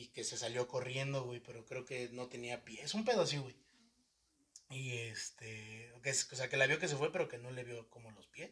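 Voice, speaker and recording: A man's medium-pitched voice with a bright, sharp tone, fairly even intonation, and big swings in loudness. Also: moderate pace. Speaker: podcast host. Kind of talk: casual chat.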